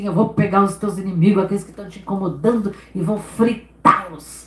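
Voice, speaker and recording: A booming, put-on character voice at a middle pitch moves along at a fairly quick pace. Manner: threatening, powerful.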